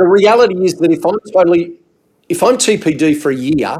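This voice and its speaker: A man with an Australian accent at a moderate pace, with ordinary pitch variation. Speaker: insurance adviser. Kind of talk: casual chat. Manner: halting.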